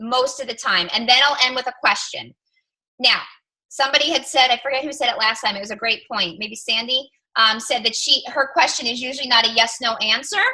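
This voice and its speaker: A woman speaks at a moderate pace in a raised, projected voice with a high pitch. Her tone is animated, bright and sharp. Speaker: fitness coach team leader. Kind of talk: team coaching call. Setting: group call. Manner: loud.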